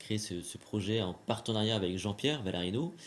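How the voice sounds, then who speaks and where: The speaker is a man. His pitch is fairly low. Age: 40s. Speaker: magician and trainer. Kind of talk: interview. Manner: hesitant, many fillers.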